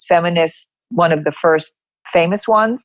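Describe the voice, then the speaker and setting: A woman's fairly low voice at a moderate pace, with an American accent. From New York City. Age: 70s. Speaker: yoga teacher. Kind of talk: podcast interview.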